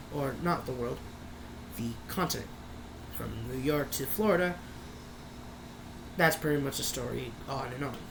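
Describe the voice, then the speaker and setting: A woman with a very deep, low voice talks at a moderate pace with ordinary pitch variation and long, frequent pauses, over audible room echo and noticeable background noise. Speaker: youtuber. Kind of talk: casual vlog talk. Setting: bedroom. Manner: loud.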